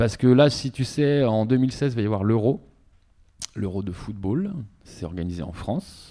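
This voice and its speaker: Using lively intonation, a man with a dark, mellow tone and a medium pitch speaks at a fairly slow pace, with long, frequent pauses. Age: 40s. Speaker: radio professional and youth association founder. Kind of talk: interview. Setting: studio.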